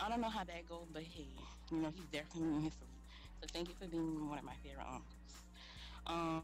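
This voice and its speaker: A woman with a strong New Orleans accent at a fairly quick pace, with audible room echo. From New Orleans, US South. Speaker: sorority founder. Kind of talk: roast thank-you speech. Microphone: poor quality mic.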